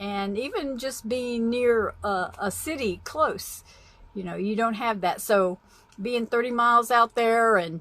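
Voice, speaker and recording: Over a very clean recording with a silent background, a woman with an ordinary speaking voice talks at a fairly high pitch with ordinary pitch variation. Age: 60s. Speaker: vlogger, van-dwelling nomad. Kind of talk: casual vlog talk. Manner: casual, meandering with fillers.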